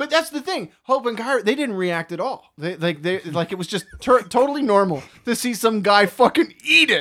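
A man's raised, projected voice, high-pitched with a bright, sharp tone, very wide pitch swings and hardly any pauses. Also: moderate pace. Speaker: movie podcast host. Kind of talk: casual chat.

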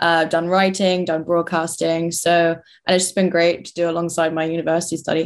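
A woman with a London accent speaks at a fairly quick pace in a fairly low pitch. Her intonation is monotone and flat, with big swings in loudness. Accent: southern English, London. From London, England. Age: 20s. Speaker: university student and political commentator. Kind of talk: interview.

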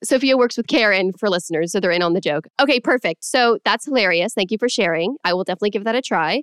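Talking at a very fast pace, a woman with a Californian accent uses lively intonation at a medium pitch, her sound dry and close with no echo. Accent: general American, Californian. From Los Angeles. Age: 20s. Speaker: podcast host. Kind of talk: casual interview. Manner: enthusiastic.

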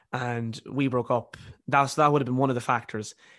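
Over a quiet background, a man in an Irish accent talks at a fairly quick pace in a monotone, flat intonation. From Ireland. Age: 20s. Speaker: university student and author. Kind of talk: casual interview.

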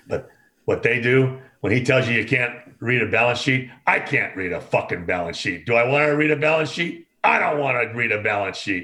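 Speaking in a normal speaking voice with an American accent, a man talks at a fairly quick pace with a medium pitch and ordinary pitch variation. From Oakland, California. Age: 60s. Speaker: concert production veteran. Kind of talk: casual chat.

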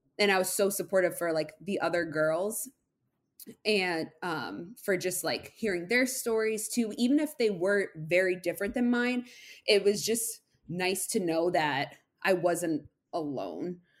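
Recorded very cleanly against a silent background, a woman of medium pitch has a normal speaking voice and lively intonation. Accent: American. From Massachusetts. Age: 20s. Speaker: podcast guest sharing recovery story. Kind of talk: casual interview.

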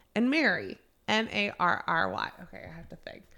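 Speaking at a fairly slow pace with a slight Southern US accent, a woman has a bright, sharp tone on a very clean recording with a silent background. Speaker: podcast host. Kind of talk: casual chat.

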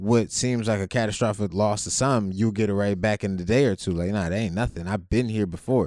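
In a very clean recording with a silent background, a man with an American accent uses an ordinary speaking voice, fairly low in pitch, with ordinary pitch variation. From Ohio, Youngstown. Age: 30s. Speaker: podcast co-host, navy veteran, business owner. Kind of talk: casual chat.

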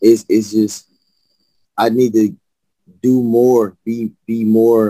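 Dry and close with no echo, a man's dark, mellow voice comes through in an American accent. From Birmingham, Alabama. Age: 30s. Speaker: rapper. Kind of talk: casual interview chat.

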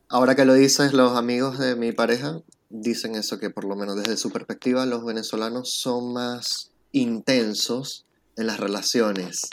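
Here a man talks at a moderate pace in a medium pitch. His intonation stays fairly even. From Venezuela, Puerto La Cruz. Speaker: immigrant interviewee. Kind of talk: interview.

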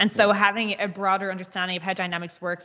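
Very fast speech in a Dublin accent carries fairly even intonation. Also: woman. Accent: Dublin Irish. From Dublin, Ireland. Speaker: pre-sales consultant. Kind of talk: casual chat. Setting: video call.

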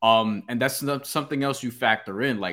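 A man with a New York accent in a very clean recording with a silent background. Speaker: boxing podcast co-host. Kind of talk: casual sports betting chat.

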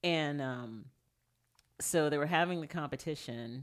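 This woman talks in an American accent with vocal fry. Her pitch varies in an ordinary way. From Texas. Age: 40s. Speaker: stand-up comedian. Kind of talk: casual chat.

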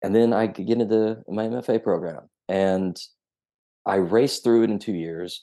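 With a Southern US accent, the voice has a dark, mellow tone and fairly even intonation over a quiet background. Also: man. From Tennessee. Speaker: novelist. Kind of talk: casual interview.

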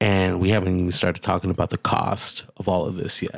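Monotone and flat, a man talks in a very deep, low pitch. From Puerto Rico. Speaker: podcast co-host. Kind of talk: casual political discussion.

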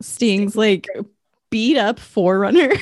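A woman is speaking. She keeps a fairly slow pace. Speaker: wrestling podcast co-host. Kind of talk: casual chat. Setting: remote recording over internet. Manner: soft-spoken.

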